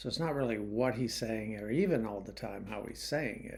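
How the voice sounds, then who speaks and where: There is audible room echo around a voice with vocal fry, moderate pace and ordinary pitch variation. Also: man. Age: 60s. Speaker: YouTube commentator. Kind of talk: monologue commentary. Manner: casual, hesitant with fillers.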